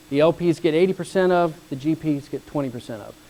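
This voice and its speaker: A man's fairly high-pitched voice at a very fast pace, with fairly even intonation. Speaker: real estate fund executive. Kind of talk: lecture.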